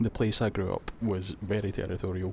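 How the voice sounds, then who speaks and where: A man speaks with a Scottish accent at a fairly low pitch. His intonation stays fairly even. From Scotland. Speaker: vlogger. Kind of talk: personal testimony. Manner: halting.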